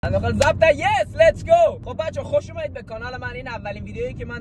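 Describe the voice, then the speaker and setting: A man talks very fast in an animated tone, with audible room echo and noticeable background noise. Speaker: YouTuber / vlogger. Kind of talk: casual vlog while driving. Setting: in a car.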